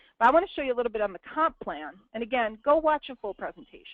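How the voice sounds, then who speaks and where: A woman's fairly high voice with an American accent at a very fast pace, with very wide pitch swings. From Brooklyn, New York. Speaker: network marketing presenter. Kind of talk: business presentation. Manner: animated.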